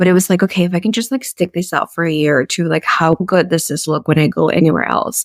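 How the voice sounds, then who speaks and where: With vocal fry and a fairly low pitch, a woman talks at a very fast pace with hardly any pauses and ordinary pitch variation, in a dry, close sound with no echo. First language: a European language, English learned as teen. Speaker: communications professional, podcast guest. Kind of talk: interview conversation.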